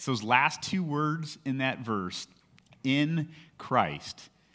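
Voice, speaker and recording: Over a silent background on a very clean recording, a man with a plain, everyday voice and an American accent speaks fairly slowly with lively intonation. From California. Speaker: pastor. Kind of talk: sermon.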